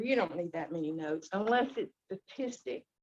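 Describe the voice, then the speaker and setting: A woman's voice in a Southern US accent, at a moderate pace, with very wide pitch swings. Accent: Southern American. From US South. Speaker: club evaluator. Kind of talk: speech evaluation.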